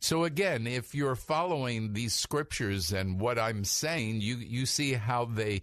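In an unremarkable speaking voice, a man talks at a fairly slow pace with lively intonation and medium pitch. The background is quiet. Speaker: rabbi and radio preacher. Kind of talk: fervent prayer, praying scripture aloud; radio sermon/teaching. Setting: radio studio broadcast. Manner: earnest, fervent, devotional.

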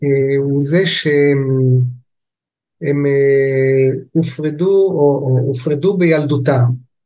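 Very slow in pace, a man talks with a fairly high pitch and a dark, mellow tone. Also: very even loudness. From Israel, kibbutz in the north. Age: 60s. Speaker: family constellation therapist. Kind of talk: interview, explanatory.

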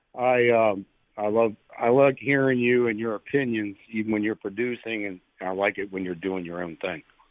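Here is a man with an unremarkable speaking voice. He talks at a medium pitch and a moderate pace. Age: 60s. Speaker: caller. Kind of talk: call-in chat. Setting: phone call.

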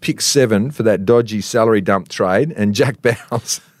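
On a very clean recording with a silent background, a man speaks in an Australian accent. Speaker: TV reporter and former footballer. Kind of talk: reading aloud; casual chat. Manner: animated.

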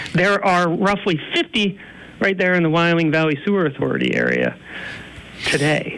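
A man with a high pitch speaks in an American accent, with fairly even intonation. He leaves long, frequent pauses over noticeable background noise. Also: moderate pace, very even loudness. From northeastern Pennsylvania. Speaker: environmental advocacy director. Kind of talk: interview.

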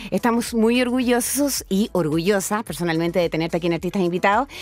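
Lively in intonation, a woman at a medium pitch has an ordinary speaking voice. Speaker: radio host. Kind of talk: radio interview.

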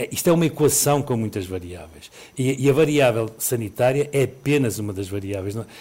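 A man talks at a fairly quick pace with a medium pitch. His voice is somewhat breathy. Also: lively intonation. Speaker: epidemiologist. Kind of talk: expert radio interview. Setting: live remote interview.

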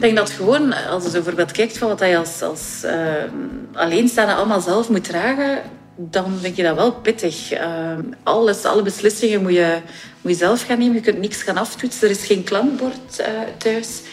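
Noticeable background noise sits behind a woman's medium-pitched voice. She keeps a moderate pace with ordinary pitch variation. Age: 40s. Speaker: single woman sharing her experience. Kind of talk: interview.

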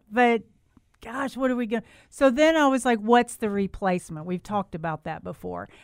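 This woman has a fairly high pitch and lively intonation. She keeps a moderate pace, and the sound is dry and close with no echo. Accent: Southern US. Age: 50s. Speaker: radio host, garden center manager. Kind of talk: call-in radio chat.

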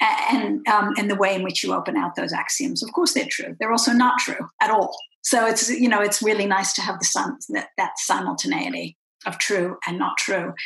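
A woman with an American accent and a normal speaking voice, fairly high in pitch, with lively intonation at a moderate pace. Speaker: podcast interviewer. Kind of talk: interview.

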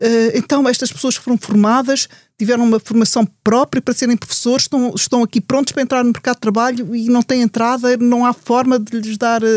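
A woman's high voice, monotone and flat, at a fairly quick pace with a dry, close sound with no echo. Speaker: statistician and university lecturer. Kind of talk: panel discussion. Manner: halting, many fillers and repetitions.

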